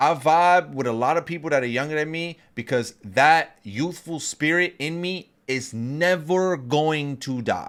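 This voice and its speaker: Recorded very clean against a silent background, a man speaks in an animated tone at a fairly slow pace, with ordinary pitch variation and hardly any pauses. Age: 30s. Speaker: podcast co-host, streamer. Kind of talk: casual chat.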